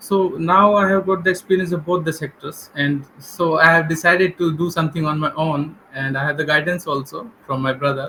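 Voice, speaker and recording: In an Indian accent, a man with a fairly high pitch speaks at a fairly quick pace with hardly any pauses and fairly even intonation, over noticeable background noise. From India, Delhi. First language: Hindi. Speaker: English learner, government employee. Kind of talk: English practice conversation. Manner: hesitant.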